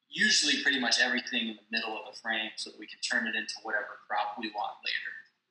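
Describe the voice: In a room with audible echo, a man talks in a bright, sharp tone with fairly even intonation.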